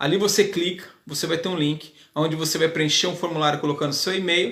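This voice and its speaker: There is audible room echo on this recording. A man speaks at a moderate pace. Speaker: hairdressing teacher. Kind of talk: live class. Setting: live video stream.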